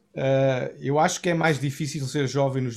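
This is a man with a medium pitch. The recording is very clean, with a silent background. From Portugal, Cascais area. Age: 40s. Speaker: worship pastor. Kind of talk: interview testimony. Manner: halting, many repetitions.

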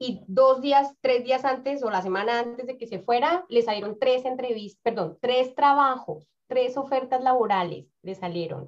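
In a Bogotá accent, a woman with a high pitch talks at a fairly slow pace with hardly any pauses and ordinary pitch variation. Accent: Bogotá Colombian Spanish. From Colombia, Bogotá. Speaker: community organization founder and career coach. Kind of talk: interview.

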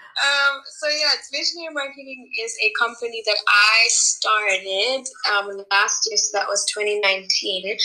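Against noticeable background noise, a woman with a high pitch speaks at a fairly slow pace with lively intonation. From Kenya. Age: 20s. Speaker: entrepreneur and life coach. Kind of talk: casual interview chat.

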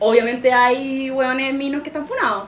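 Over noticeable background noise, a woman with a Chilean accent speaks at a moderate pace in a high pitch. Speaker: podcast host. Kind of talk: casual chat.

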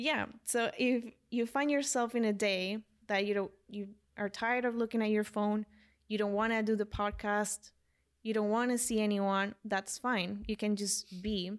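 Someone speaks in a Spanish accent at a moderate pace, with fairly even intonation and very even loudness. The recording is very clean, with a silent background. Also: woman, fairly high pitch for a woman. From Colombia. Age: 20s. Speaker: life coach. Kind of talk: casual chat.

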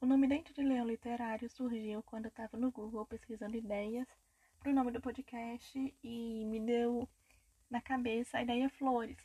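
Here a woman speaks with a high pitch and a dark, mellow tone, her intonation monotone and flat at a moderate pace. The sound is dry and close, with no echo. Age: 20s. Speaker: podcast host, recent journalism graduate. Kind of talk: casual monologue introducing podcast.

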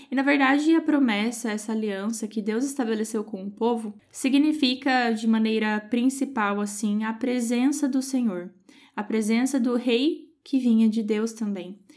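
Hardly pausing, a woman speaks at a fairly slow pace with ordinary pitch variation in a very clean recording with a silent background. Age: 20s. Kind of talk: Bible study talk.

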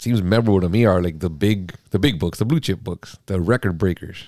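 A man with a normal speaking voice talks at a fairly low pitch and a fairly quick pace with ordinary pitch variation, on a very clean recording with a silent background. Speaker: podcast host, comic book seller. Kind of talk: casual chat.

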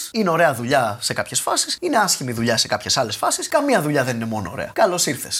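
The speech comes at a very fast pace with hardly any pauses. Background noise is noticeable. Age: 30s. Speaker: YouTuber. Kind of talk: casual interview chat. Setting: remote call from his room.

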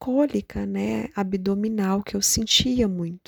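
A woman at a very slow pace, the sound dry and close with no echo. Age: 30s. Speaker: patient sharing her illness story. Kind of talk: interview, personal testimony.

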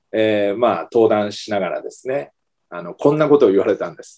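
A man speaks at a moderate pace. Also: big swings in loudness. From Kumamoto, Japan. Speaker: early childhood education professor. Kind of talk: interview.

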